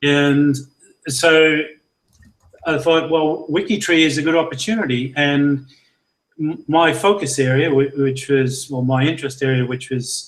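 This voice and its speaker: Speaking at a fairly slow pace with long, frequent pauses, a man with a fairly high pitch talks in an Australian accent. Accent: broadly Australian-sounding. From Scotland, Lanarkshire near Glasgow. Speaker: genealogy project leader. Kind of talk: interview. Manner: halting.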